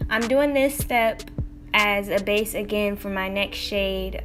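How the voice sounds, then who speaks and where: A woman's speech comes through with music in the background. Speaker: beauty vlogger, makeup beginner. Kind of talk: casual makeup tutorial talk to camera.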